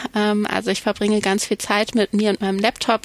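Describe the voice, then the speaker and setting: A woman speaks at a moderate pace. The sound is dry and close, with no echo. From Germany, Cologne. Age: 30s. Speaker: psychology professor. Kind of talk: interview.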